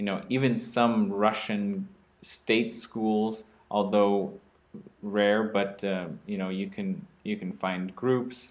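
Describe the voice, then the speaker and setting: With an American accent, a man speaks at a very slow pace in a fairly low pitch. His intonation stays monotone and flat. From US, Oregon. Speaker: podcast co-host, English school employer. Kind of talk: casual chat.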